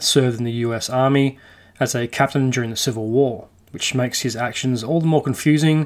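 Relaxed in tone, a man talks at a moderate pace and a medium pitch. The recording is very clean with a silent background. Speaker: podcast host. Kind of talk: true-crime history narration, storytelling a historical account. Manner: conversational, relaxed storyteller with casual asides and mild swearing; steady, measured narrative pacing, detail-heavy.

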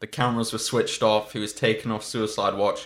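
A man speaks with a British accent. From UK. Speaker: podcast co-host. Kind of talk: casual chat.

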